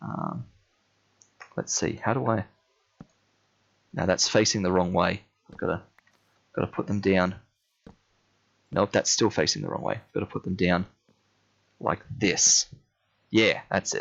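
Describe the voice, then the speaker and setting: A man with an Australian accent speaks at a fairly slow pace, leaving long, frequent pauses. His fairly low pitch varies in an ordinary way and carries vocal fry. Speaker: gamer streamer. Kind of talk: live gameplay commentary. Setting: live stream. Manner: casual, hesitant with fillers.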